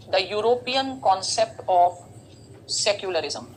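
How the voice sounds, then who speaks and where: Over noticeable background noise, a woman speaks fairly slowly with lively intonation. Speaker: teacher. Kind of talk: lecture.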